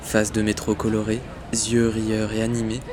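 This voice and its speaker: Over noticeable background noise, a man with a medium-pitched voice talks at a fairly quick pace in a monotone, flat delivery. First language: French. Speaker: podcast host. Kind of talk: scripted narration.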